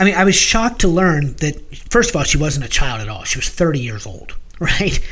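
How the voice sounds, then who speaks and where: Heard over noticeable background noise, a man speaks at a high pitch with very wide pitch swings. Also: moderate pace. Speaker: podcast co-host. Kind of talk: casual discussion of music.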